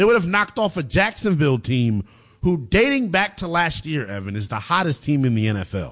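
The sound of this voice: Fairly high-pitched male voice, fairly bright tone, big pitch swings, fairly quick pace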